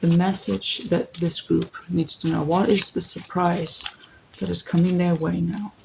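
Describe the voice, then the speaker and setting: Spoken at a very slow pace, with noticeable background noise behind it. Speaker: tarot reader. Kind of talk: tarot reading.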